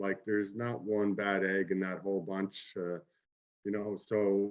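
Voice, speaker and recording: With a Maritime Canadian accent, a man talks at a fairly slow pace in a fairly low pitch. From Kitchener, Ontario. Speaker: former junior hockey player. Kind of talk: interview answer.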